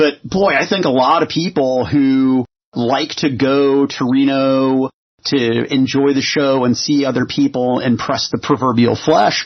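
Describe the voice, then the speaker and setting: A man talks at a fairly slow pace with a normal speaking voice. His pitch is fairly high. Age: 40s. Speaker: podcast host. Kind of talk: casual chat.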